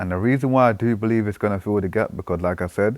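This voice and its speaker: A man with a British accent talks in an animated tone at a fairly low pitch with ordinary pitch variation. The sound is dry and close, with no echo. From Britain. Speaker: trading analyst YouTuber. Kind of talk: market analysis commentary. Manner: casual, animated.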